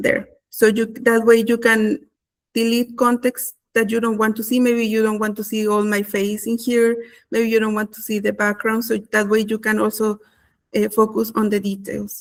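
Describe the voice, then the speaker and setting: A woman with a non-native accent talks at a moderate pace in a fairly high pitch, her intonation flat and monotone. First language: not English. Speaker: content creator. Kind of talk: webinar tutorial. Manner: halting, many fillers.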